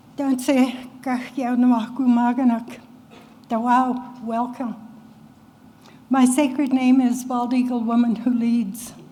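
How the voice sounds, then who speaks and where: A woman speaks at a very slow pace and high pitch, with long, frequent pauses. Her intonation is monotone and flat, and the room echo is audible. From Canada, Cree First Nation. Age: 80s+. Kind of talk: public talk.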